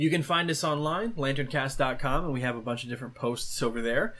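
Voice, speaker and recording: Fairly high in pitch, with ordinary pitch variation, a man talks in an unremarkable speaking voice. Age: 20s. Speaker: comic book podcast host. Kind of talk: solo podcast recap and reading of letters. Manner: casual with frequent fillers.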